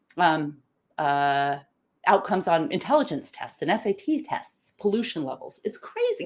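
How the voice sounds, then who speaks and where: Animated female speech with vocal fry, very wide pitch swings and a moderate pace. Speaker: live show host and decision-making trainer. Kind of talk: live-streamed talk to online audience.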